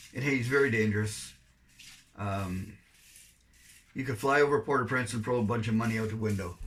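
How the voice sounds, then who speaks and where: With a Canadian accent and medium pitch, a man talks at a fairly quick pace with fairly even intonation, long, frequent pauses and audible room echo. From Canada. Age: 70s. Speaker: volunteer overseas missionary. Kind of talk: interview.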